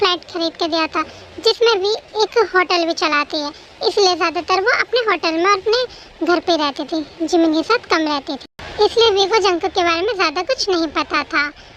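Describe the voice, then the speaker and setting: Over clear background noise, a woman with an extremely high pitch talks at a moderate pace with ordinary pitch variation. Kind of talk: fan story narration. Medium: read story. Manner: calm, explanatory.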